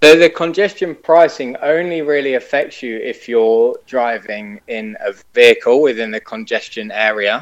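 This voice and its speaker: A man with a British accent, fairly high pitch and hardly any pauses. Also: lively intonation, moderate pace. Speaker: website owner, scooter expert. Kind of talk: casual interview. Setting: remote call.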